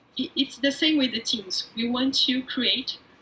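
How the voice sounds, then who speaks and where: A woman speaks with a high pitch. Noticeable background noise sits behind her voice. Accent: Portuguese. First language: Portuguese. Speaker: agile coach, remote teams expert. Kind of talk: talk show interview.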